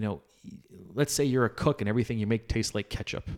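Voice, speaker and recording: A man talks in a normal speaking voice. It sits fairly low, with ordinary pitch variation. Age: 40s. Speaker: podcast co-host, father. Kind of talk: casual chat.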